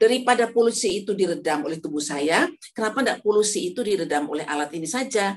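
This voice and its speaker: Delivered at a very fast pace, the speech has lively intonation. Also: woman. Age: 70s. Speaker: elderly product user giving testimonial. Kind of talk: testimony. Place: home room. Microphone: phone near.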